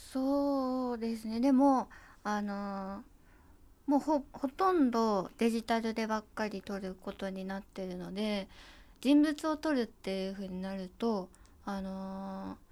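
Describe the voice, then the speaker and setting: A woman speaks slowly-ish, at a fairly slow pace, in a plain, everyday voice with ordinary pitch variation. Her loudness swings widely on a very clean recording with a silent background. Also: fairly high pitch for a woman. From Japan, Kanagawa. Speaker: photographer's assistant. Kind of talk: interview.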